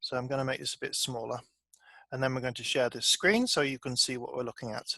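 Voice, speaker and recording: A man's bright, sharp tone with a British accent. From Britain. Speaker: software developer and trainer. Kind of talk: online training session.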